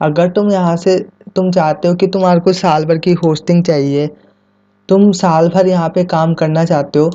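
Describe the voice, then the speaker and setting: Here a man speaks at a high pitch. His intonation is monotone and flat, and his loudness stays very even. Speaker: YouTube tech tutor. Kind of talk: tutorial. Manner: casual, conversational; quieter than usual.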